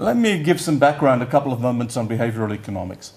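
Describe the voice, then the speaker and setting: With audible room echo, a man speaks at a very fast pace in a medium pitch with lively intonation. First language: Yiddish. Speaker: economics professor. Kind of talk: conference lecture. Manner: halting, repeats words.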